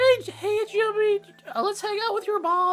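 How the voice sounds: This put-on character voice is extremely high, nasal and wheezy, moving at a moderate pace.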